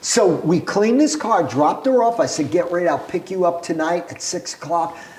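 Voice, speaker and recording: With a New York accent, a man speaks at a high pitch and a moderate pace with ordinary pitch variation, over noticeable background noise. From Brooklyn, New York City. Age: 70s. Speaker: entrepreneur. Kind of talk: casual interview storytelling.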